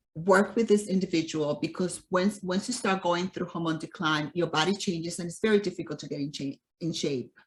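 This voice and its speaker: Her voice is somewhat breathy with fairly low pitch. This woman uses ordinary pitch variation. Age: 60s. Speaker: nutrition and fitness coach. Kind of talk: interview.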